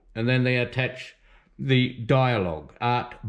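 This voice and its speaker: A man talks with a New Zealand accent. His pitch is fairly high. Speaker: artist teaching drawing. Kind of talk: art tutorial and commentary. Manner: casual, rambling with fillers.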